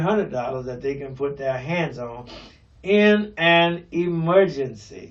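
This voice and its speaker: Audible room echo surrounds a voice that moves at a moderate pace with ordinary pitch variation. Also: man. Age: 70s. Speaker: pastor. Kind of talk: radio talk show monologue. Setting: radio broadcast. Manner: hesitant, many fillers.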